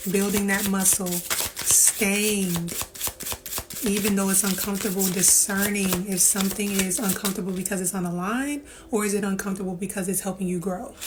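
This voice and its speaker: A woman with a medium pitch speaks at a moderate pace with fairly even intonation and very even loudness. Noticeable background noise and audible room echo are present. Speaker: tarot reader. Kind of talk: tarot reading. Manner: projecting, louder than before; casual, filler-heavy.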